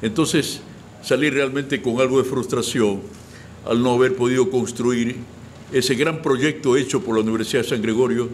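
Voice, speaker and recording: Over noticeable background noise, a man speaks at medium pitch and a moderate pace, with ordinary pitch variation and very even loudness. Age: 70s. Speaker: retired cultural official and writer. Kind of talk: interview. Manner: halting, repeats words.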